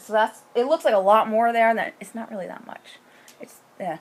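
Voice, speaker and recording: A woman talks at a very fast pace in a fairly high voice. Her tone is animated. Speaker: knitting podcaster. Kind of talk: casual chat.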